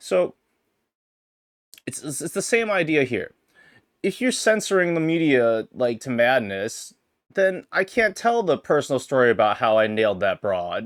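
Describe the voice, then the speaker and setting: Very wide pitch swings at a moderate pace, with long, frequent pauses, on a very clean recording with a silent background. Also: man, fairly high pitch for a man. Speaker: streamer podcast host. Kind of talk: casual solo livestream chat. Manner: halting, many restarts.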